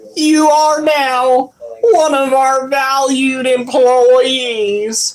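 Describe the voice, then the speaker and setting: A put-on character voice, female-sounding and high-pitched, has a cheerful tone. It moves at a very slow pace. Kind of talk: corporate, scripted. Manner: obnoxious, fake cheerful.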